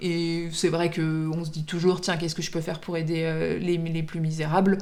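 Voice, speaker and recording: In a room with audible echo, a woman speaks at a moderate pace with a fairly low pitch and monotone, flat intonation. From Paris, France. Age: 30s. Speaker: general practitioner and volunteer. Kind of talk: documentary interview. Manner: halting, many hesitations.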